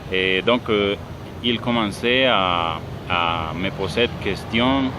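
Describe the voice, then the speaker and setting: Very slow speech with a Spanish accent and ordinary pitch variation, against noticeable background noise. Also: man, fairly low pitch for a man. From Colombia. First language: Spanish (speaking French). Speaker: language student. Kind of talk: class presentation monologue. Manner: halting, many fillers.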